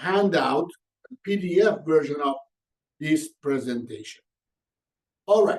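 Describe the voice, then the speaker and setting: A man with an Iranian accent speaks at a fairly slow pace in a high pitch, with ordinary pitch variation. He leaves long, frequent pauses. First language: Persian. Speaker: organizational coach and consultant. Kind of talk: webinar presentation. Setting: online webinar.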